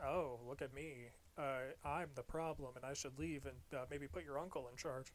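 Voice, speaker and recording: Someone uses a whiny put-on character voice at a moderate pace, with long, frequent pauses. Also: man, fairly high pitch for a man. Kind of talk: sarcastic, modern casual. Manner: mocking, put-on whiny voice.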